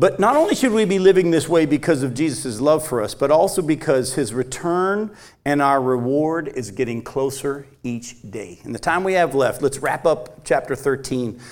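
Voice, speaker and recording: A man with a plain, everyday voice and a fairly high pitch speaks at a moderate pace. His intonation is lively, with hardly any pauses. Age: 50s. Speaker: pastor. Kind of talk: sermon.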